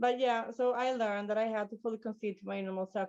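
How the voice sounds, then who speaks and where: A woman talks at a fairly quick pace with a Swedish accent. Her pitch is medium and her intonation fairly even. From Sweden. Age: 30s. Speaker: recovering alcoholic sharing at a meeting. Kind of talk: testimony. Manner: halting.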